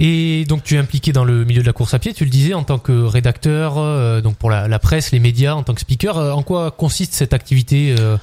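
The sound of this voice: Speaking at a fairly quick pace, a man's medium-pitched voice has a dark, mellow tone. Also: ordinary pitch variation, few pauses.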